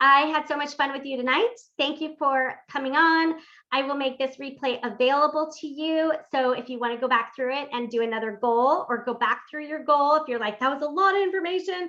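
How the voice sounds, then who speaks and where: A woman's raised, projected voice, high-pitched, with a bright, sharp, animated tone and a fairly quick pace. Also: ordinary pitch variation. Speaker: workshop host and life coach. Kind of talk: live-streamed interactive workshop. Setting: live stream. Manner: fast.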